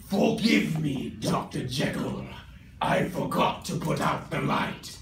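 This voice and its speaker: A man speaks at a fairly slow pace in a put-on character voice pitched fairly high, with slight echo and clear background noise. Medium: stage play. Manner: sneering, mocking.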